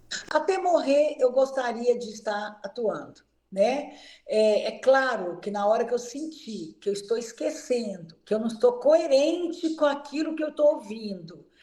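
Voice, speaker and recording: Using lively intonation and a high pitch, a woman speaks at a fairly slow pace with big swings in loudness. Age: 70s. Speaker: physiotherapist. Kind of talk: interview.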